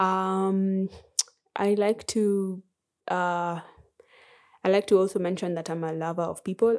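A woman with a medium pitch talks at a fairly slow pace in a monotone, flat intonation. Long, frequent pauses mark the very clean recording, whose background is silent. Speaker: musician. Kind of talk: casual interview.

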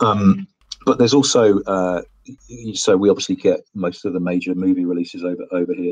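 A man speaks at a fairly quick pace in a fairly low voice, with ordinary pitch variation. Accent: British. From UK. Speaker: guest, arcade enthusiast. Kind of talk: casual chat. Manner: halting, many fillers and repetitions.

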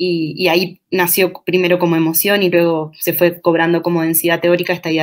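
In a fairly low voice, a woman talks at a moderate pace. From Uruguay, Durazno. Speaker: feminist researcher and university lecturer. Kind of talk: interview.

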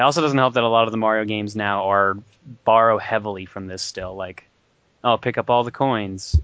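A man with an unremarkable speaking voice talks at a fairly quick pace, his fairly low pitch moving with ordinary variation. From Newfoundland, Canada. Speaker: podcast co-host. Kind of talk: casual chat.

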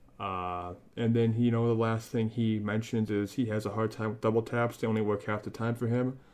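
Over a quiet background, a man speaks with an American accent at a medium pitch. His delivery is fairly quick and monotone, with flat intonation and hardly any pauses. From Northwest Indiana, US Midwest. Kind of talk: casual chat, product review. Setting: online audio call.

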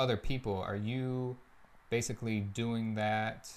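Very slowly and with fairly even intonation, a man speaks in a fairly low voice. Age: 20s. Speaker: podcast host. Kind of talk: casual interview chat.

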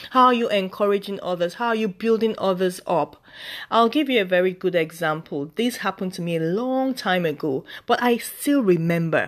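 A woman speaks in a normal speaking voice at a medium pitch and moderate pace, with lively intonation. The recording is very clean, with a silent background. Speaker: faith podcast host. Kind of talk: devotional talk, monologue. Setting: podcast. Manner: warm, encouraging, conversational.

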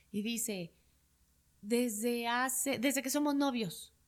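A woman speaks in a high pitch. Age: 40s. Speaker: psychologist and hypnotherapist. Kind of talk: interview conversation.

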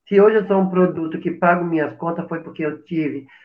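Using a normal speaking voice, a man talks at a fairly high pitch with fairly even intonation. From Brazil, Paraíba; moved to São Paulo at about 10. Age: 50s. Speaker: drag queen, actress and math teacher. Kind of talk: casual interview on a live stream.

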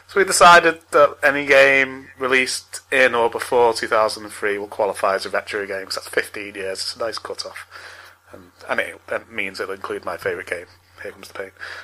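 A man talks at a fairly quick pace, his loudness swinging widely. Noticeable background noise runs underneath. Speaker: podcast host. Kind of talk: casual chat. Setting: online call.

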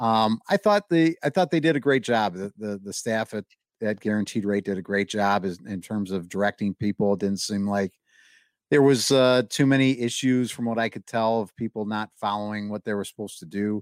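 An ordinary speaking voice, this man talks at a fairly quick pace with a fairly low pitch and ordinary variation, in a dry, close sound with no echo, on a very clean recording with a silent background. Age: 30s. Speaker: podcast co-host. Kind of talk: casual chat.

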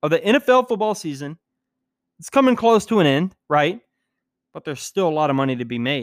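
A man with a fairly high pitch speaks in an animated tone, his pitch swinging very widely. The recording is very clean with a silent background and a dry, close sound with no echo. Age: 20s. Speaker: sports betting podcast host. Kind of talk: casual podcast monologue.

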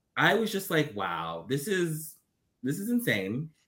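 A man speaks in a raised, projected voice with a bright, sharp tone and very wide pitch swings. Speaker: BL content creator. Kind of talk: casual chat.

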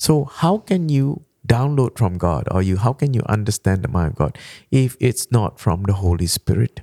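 In a Malaysian accent, a man speaks at a moderate pace in a dark, mellow tone with very wide pitch swings and very even loudness, on a very clean recording with a silent background and a dry, close sound with no echo. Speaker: pastor. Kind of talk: sermon-style teaching in a podcast chat.

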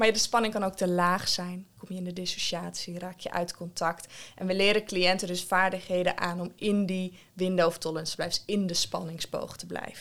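A woman speaks in a flat monotone. The recording is very clean, with a silent background. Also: medium pitch for a woman, moderate pace, hardly any pauses. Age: 20s. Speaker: community psychiatric nurse. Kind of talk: interview conversation. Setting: at her workplace.

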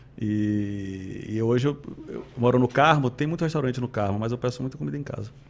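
A normal speaking voice from a man, fairly quick in pace, medium in pitch, with ordinary pitch variation. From Salvador, Bahia, Brazil. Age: 40s. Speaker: city culture and tourism secretary. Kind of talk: interview.

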